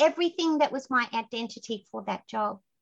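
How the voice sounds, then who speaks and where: With an Australian accent, a woman speaks at a fairly quick pace in an animated tone. Her pitch is high, with ordinary pitch variation. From Queensland, Australia. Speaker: success strategist and speaker. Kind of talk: casual interview chat. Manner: animated, storytelling.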